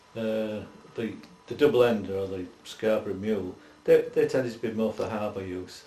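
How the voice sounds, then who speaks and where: A man with a Yorkshire accent talks at a moderate pace in a fairly low pitch, his intonation monotone and flat. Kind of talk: oral history interview answer.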